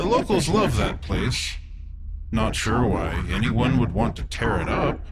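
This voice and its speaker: Over loud background noise, a man uses a put-on character voice and talks at a fairly slow pace. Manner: casual, drawling, menacing.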